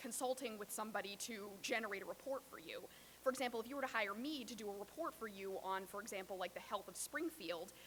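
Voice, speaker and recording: Ordinary pitch variation runs through speech delivered at a very fast pace. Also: woman, fairly high pitch for a woman. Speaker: public health epidemiologist. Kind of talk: workshop presentation. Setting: workshop with audience.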